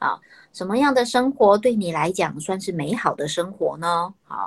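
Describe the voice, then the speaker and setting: Her pace is fairly slow. The woman's pitch varies in an ordinary way. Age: 40s. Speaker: university professor of family studies. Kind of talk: interview. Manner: many filler particles and hesitations.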